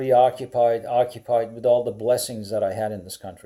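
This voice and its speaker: With a Persian accent, a man of medium pitch and a dark, mellow tone is heard on a very clean recording with a silent background. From Iran. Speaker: teacher. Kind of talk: casual personal monologue. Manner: hesitant, many fillers.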